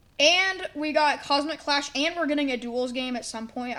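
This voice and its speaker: A woman's animated voice at a moderate pace, with ordinary pitch variation and noticeable background noise. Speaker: gaming youtuber. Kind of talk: casual commentary reviewing old predictions. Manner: animated, casual.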